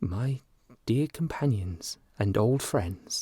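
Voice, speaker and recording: Putting on a character voice, a man speaks very slowly and shakily at a medium pitch. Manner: mild, tearful.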